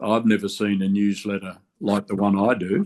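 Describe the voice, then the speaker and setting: In an Australian accent, a man speaks at a fairly low pitch with monotone, flat intonation. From Australia, Canberra. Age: 70s. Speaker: construction safety and union veteran. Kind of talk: podcast interview.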